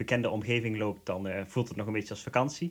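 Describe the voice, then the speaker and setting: A man with a Limburg accent talks at a fairly quick pace. His pitch is fairly low and his intonation fairly even. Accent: Limburg Dutch. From Netherlands, Limburg. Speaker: pilgrim. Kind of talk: interview. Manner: hesitant, many fillers.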